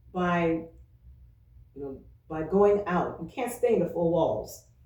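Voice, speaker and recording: Amid audible room echo, a woman speaks at a fairly low pitch in a dark, mellow tone with ordinary pitch variation. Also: fairly slow pace. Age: 60s. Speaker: church member, retired social worker. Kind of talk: oral history interview.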